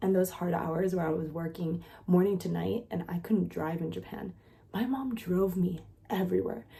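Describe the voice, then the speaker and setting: A woman speaks quietly with an animated tone. Noticeable background noise is present. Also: fairly low pitch for a woman, ordinary pitch variation, moderate pace. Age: 30s. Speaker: content creator and nanny. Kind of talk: casual vlog monologue. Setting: at home with sleeping child.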